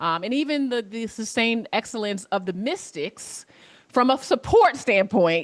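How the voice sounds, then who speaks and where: A woman with an American accent, a fairly high pitch, lively intonation, a moderate pace and a normal speaking voice. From US Mid-Atlantic, Alexandria, Virginia. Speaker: former college basketball player, sports professional. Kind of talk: class Q&A over video.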